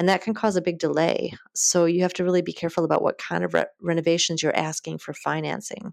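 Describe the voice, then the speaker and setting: A woman at a very fast pace, with hardly any pauses. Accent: Upper Midwest. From US Midwest, Wisconsin. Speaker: mortgage broker. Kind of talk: interview.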